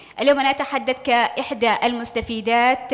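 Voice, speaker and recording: Noticeable background noise sits behind a woman with a high pitch speaking at a moderate pace. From Yemen. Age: young. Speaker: journalist and project coordinator. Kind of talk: panel testimony. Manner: hesitant, many fillers.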